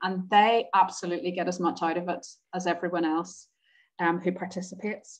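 Fairly quick, monotone speech from a woman, flat in intonation, over a quiet background. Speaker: community repair organiser. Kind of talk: webinar presentation. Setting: video call.

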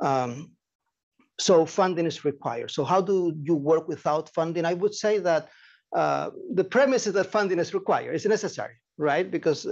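A man with a Spanish accent speaks at a moderate pace and a high pitch. His pitch variation is ordinary, and the background is quiet. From Chile. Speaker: nonprofit director and anthropologist. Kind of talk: lecture. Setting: seminar room with audience, streamed on Zoom.

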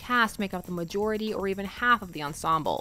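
Speaking at a very fast pace, a woman gets her words out. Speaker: fandom video essayist. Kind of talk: video essay narration. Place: home room.

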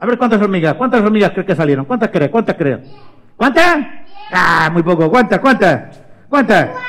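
The clip presents a natural reading voice marked by lively intonation.

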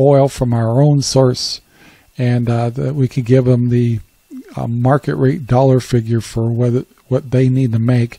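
At a moderate pace, a man speaks in a dark, mellow tone, the sound dry with no echo and the background quiet. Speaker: radio show host. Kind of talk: talk radio monologue commentary. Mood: calm, reflective opinion.

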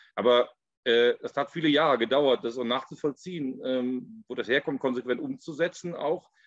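In an ordinary speaking voice, a man talks at a fairly quick pace with a fairly high pitch and ordinary pitch variation, the sound dry with no echo against a quiet background. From Ahr valley, Germany; Germany. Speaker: winemaker; guest. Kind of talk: panel discussion. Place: home room. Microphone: video call.

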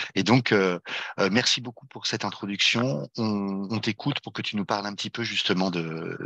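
With a quiet background and a dry sound with no echo, a man speaks at a moderate pace in a fairly low pitch, his bright, sharp tone showing ordinary pitch variation. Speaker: webinar moderator, nonprofit president. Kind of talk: webinar moderation. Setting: video call. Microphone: headset.

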